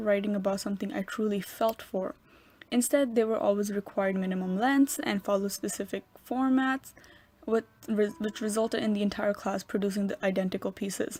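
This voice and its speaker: A woman's somewhat breathy voice at a medium pitch, fairly quick pace and fairly even intonation. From New York. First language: Urdu. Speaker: college student. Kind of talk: scripted narration.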